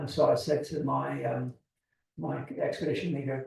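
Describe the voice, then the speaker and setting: A man with an English accent. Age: 70s. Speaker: seabird expert. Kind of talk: lecture.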